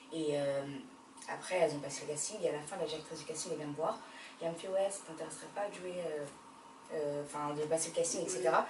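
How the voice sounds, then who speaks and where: A woman speaks at a very fast pace in a very deep, low pitch, with fairly even intonation, long, frequent pauses, and big swings in loudness. Audible room echo and noticeable background noise fill the recording. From France, Paris. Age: 20s. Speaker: actress. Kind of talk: interview.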